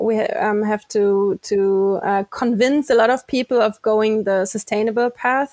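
A woman with a German accent at a fairly high pitch, fairly slow and fairly even in intonation, in a dry, close sound with no echo. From Germany, near Frankfurt. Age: 20s. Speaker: sustainability consultant and company co-founder. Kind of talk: interview. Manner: halting, many fillers and repetitions.

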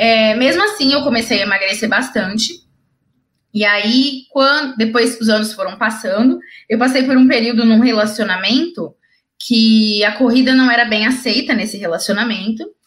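With ordinary pitch variation, a woman speaks in a fairly high voice. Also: moderate pace. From Brazil, interior of São Paulo state (Ribeirão Preto). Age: 30s. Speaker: wheelchair triathlete and speaker. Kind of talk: interview, personal story. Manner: talkative, fluent.

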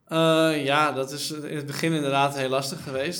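A man speaks at a moderate pace in a monotone, flat intonation, with audible room echo around him. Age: 30s. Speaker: startup co-founder. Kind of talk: interview.

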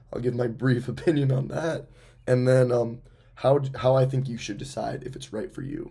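A man with a somewhat breathy, dark, mellow tone speaks at a moderate pace and medium pitch, his intonation monotone and flat, his loudness swinging widely, in audible room echo. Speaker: podcast host. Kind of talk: casual monologue.

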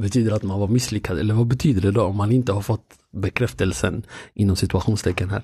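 Against a quiet background, a man speaks at a very fast pace with a fairly low pitch and ordinary pitch variation. His tone is dark and mellow, and somewhat breathy. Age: 30s. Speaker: podcast host. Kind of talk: casual chat.

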